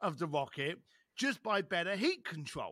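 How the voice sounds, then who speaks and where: With a bright, sharp tone, a man speaks in a raised, projected voice. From East London. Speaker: author and speaker. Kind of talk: casual interview.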